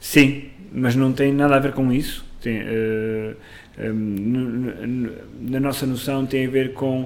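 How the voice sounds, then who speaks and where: A man talks at medium pitch in a monotone, flat intonation, with audible room echo around him. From northern Portugal, Amarante. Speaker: actor and playwright. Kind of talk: casual chat. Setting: kitchen.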